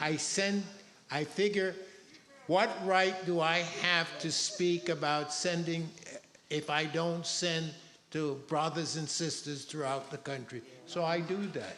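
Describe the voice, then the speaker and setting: A man's high-pitched voice at a very slow pace, with long, frequent pauses, fairly even intonation and audible room echo. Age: 80s+. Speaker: audience member. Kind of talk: public comment.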